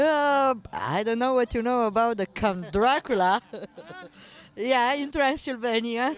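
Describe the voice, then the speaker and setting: The speaker talks at a fairly slow pace with a Romanian accent. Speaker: parade participant. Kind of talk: casual interview. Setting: party at a veterans' hall.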